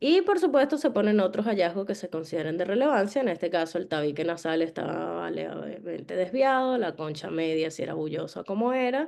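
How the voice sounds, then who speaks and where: Speaking at a moderate pace, a woman with a dark, mellow tone makes very wide pitch swings over a quiet background. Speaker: dentist lecturing on orthodontic imaging. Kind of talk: online lecture.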